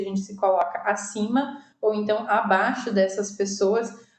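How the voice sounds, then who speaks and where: A woman at a medium pitch talks at a moderate pace, her intonation monotone and flat, with audible room echo around her. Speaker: online course instructor in recruitment. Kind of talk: recorded lecture with slides. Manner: many filler hesitations.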